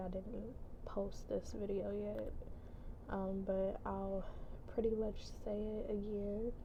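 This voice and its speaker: A quiet woman talks at a fairly slow pace in a monotone, flat intonation, with audible room echo. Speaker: vlogger. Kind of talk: personal vlog. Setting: at work. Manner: hesitant.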